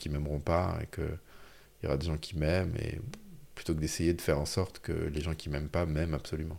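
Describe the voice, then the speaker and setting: A man with a very deep, low pitch talks fairly quickly, his intonation fairly even. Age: 40s. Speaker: author and speaker on happiness. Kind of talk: casual chat. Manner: halting.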